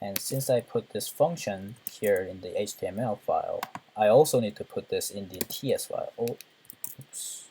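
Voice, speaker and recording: Moderate pace against noticeable background noise. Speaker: programming tutor. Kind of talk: tutorial. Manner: halting.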